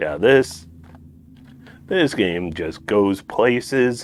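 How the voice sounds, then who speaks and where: With lively intonation, a man mumbles his words. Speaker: speedrunner. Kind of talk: gameplay commentary. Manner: mumbling; soft-spoken.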